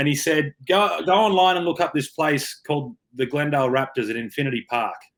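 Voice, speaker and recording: A man's fairly high voice with an Australian accent, ordinary pitch variation and a fairly quick pace. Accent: Australian, kept. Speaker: rugby player. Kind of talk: interview.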